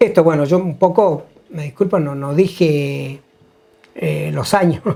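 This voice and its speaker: A man with a fairly high pitch and ordinary pitch variation speaks at a very slow pace. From Neuquén, Argentina (Andacollo). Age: 60s. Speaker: retired health worker. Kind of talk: interview testimony. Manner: halting, many fillers.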